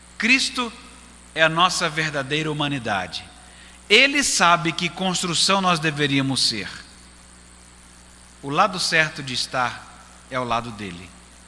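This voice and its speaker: A man with a fairly high pitch speaks at a fairly slow pace, his pitch swinging very widely. Long, frequent pauses break up his speech, and the room echo is audible. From Brazil, Recife. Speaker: pastor. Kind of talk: sermon.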